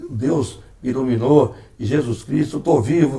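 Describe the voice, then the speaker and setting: A man speaks at a moderate pace. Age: 60s. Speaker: former mayor and broadcaster. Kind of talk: interview. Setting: at home.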